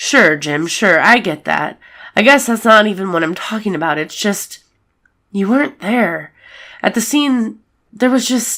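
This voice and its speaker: A put-on character voice that sounds female, raspy, and medium in pitch. It moves at a moderate pace with long, frequent pauses. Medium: read story. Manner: informal, blunt.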